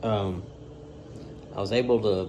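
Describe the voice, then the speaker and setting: With a Southern US accent, a man talks in a fairly low pitch with ordinary pitch variation. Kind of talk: casual talk to camera.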